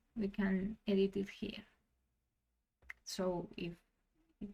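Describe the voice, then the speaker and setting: A woman speaks with a non-native accent in a somewhat breathy voice. Her intonation stays fairly even. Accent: non-native English, self-described. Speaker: tabletop gaming tutorial creator. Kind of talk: software tutorial. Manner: halting, with frequent restarts.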